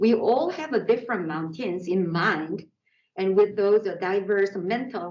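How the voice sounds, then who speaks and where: A woman speaks with a Korean accent at a medium pitch. Her pace is fairly slow and her pitch variation ordinary. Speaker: artist. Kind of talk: artist talk. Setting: art center exhibition.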